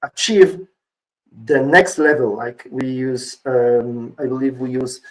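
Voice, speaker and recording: A man talks at a very slow pace with big swings in loudness. His medium pitch shows ordinary pitch variation. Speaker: conference speaker. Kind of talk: conference talk. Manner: energetic.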